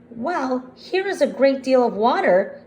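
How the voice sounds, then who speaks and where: In a put-on character voice, a woman speaks high-pitched at a fairly slow pace with lively intonation. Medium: read story.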